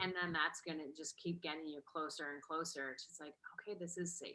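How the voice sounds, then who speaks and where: A fairly low-pitched woman's voice with an American accent, music in the background. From New Jersey. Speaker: business and mindset coach. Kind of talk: online workshop talk.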